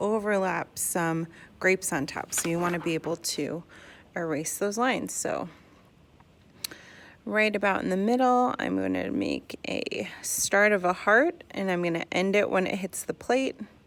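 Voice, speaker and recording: A woman with an ordinary speaking voice, ordinary pitch variation and a fairly slow pace. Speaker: art teacher. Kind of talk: tutorial.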